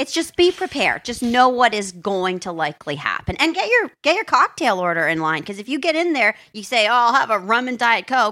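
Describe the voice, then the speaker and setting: A woman's fairly high, bright, sharp voice at a fairly quick pace with hardly any pauses and very wide pitch swings. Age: 30s. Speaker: comedic podcast guest playing a character. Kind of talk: casual chat.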